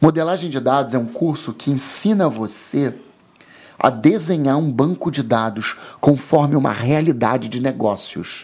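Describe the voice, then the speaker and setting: Here is a man with a plain, everyday voice and a fairly high pitch. His intonation is lively and his pace moderate. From Rio de Janeiro, Brazil. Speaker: IT and telecom professional. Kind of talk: casual interview.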